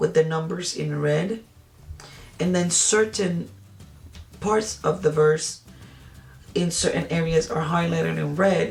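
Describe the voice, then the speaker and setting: Over music in the background, a woman with a Spanish accent speaks at a fairly slow pace with long, frequent pauses. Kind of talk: product review. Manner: halting, with many fillers.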